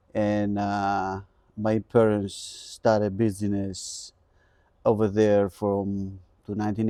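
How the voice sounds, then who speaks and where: Over a silent background in a very clean recording, a man with a Greek accent speaks in a fairly low pitch, his dark, mellow tone held to a monotone, flat intonation. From Greece (island of Kalymnos). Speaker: custom furniture maker. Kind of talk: interview. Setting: in-person in a furniture showroom.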